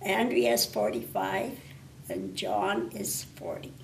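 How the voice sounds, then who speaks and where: A woman speaks very slowly, her very deep, low pitch carrying lively intonation. Audible room echo is present. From northwestern Ontario, Canada (Thunder Bay). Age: 80s+. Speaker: retired librarian. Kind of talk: interview. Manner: hesitant, with fillers.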